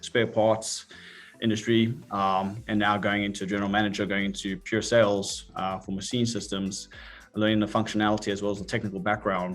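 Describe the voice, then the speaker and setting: A man's fairly low voice with a South African accent, fairly quick and delivered in a flat monotone. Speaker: industry executive. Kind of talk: interview. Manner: hesitant, many fillers.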